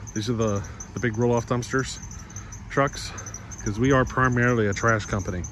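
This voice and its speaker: A man speaks with fairly even intonation. There is light background noise, and the sound is dry with no echo. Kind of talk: casual vlog chat. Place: street. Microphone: phone near.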